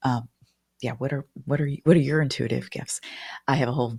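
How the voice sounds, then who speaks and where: This woman's voice sits at a very deep, low pitch, with vocal fry and ordinary pitch variation. The sound is dry and close, with no echo. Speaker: spiritual business mentor and astrologer. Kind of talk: card reading with teaching. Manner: fast; hesitant, repeats words.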